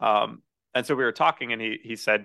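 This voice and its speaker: At a fairly quick pace, a man with an American accent talks in a plain, everyday voice of medium pitch. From central Missouri. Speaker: real estate investor. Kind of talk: podcast interview.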